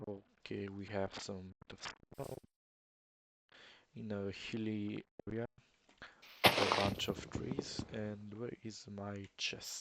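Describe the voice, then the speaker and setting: Very slowly, with long, frequent pauses, a man with an Eastern European accent speaks in a fairly low pitch and a bright, sharp tone. His intonation is flat and monotone, and the sound is dry and close with no echo. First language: not English. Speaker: gamer. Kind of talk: gameplay commentary. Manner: audible breathing in.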